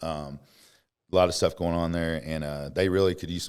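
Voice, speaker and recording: In a Kentucky accent, a man with a very deep, low voice talks at a fairly quick pace in a monotone, flat intonation, captured in a very clean recording with a silent background. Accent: Southern US (Kentucky). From US South, Western Kentucky. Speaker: motorcycle salesman. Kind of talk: interview. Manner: halting.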